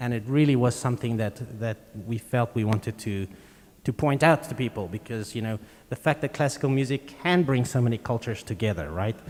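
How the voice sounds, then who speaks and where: A man speaks with a South African accent at a medium pitch. His pace is fairly quick, with ordinary pitch variation. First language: Afrikaans. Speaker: string quartet musician. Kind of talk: onstage interview. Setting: concert hall with audience.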